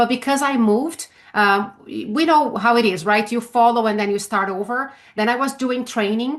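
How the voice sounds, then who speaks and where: A woman in a Brazilian Portuguese accent speaks at a fairly high pitch and moderate pace, with ordinary pitch variation. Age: 50s. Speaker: sales trainer. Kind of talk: interview. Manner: halting, frequent fillers.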